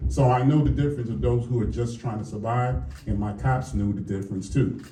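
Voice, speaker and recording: In a room with audible echo, a man with an American accent talks at a fairly quick pace, his pitch medium and its variation ordinary. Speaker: police lieutenant. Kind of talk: public forum speech. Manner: conversational, with filler words.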